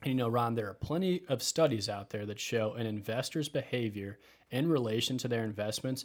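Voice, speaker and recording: On a very clean recording with a silent background, a man with a Midwestern US accent talks fairly quickly at medium pitch. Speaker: financial advisor and podcast host.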